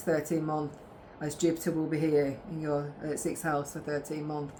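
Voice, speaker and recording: A woman speaks with a very deep, low pitch in a monotone, flat intonation. Audible room echo hangs around her voice. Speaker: tarot reader and astrologer. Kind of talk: tarot reading. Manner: halting, with stammers and restarts.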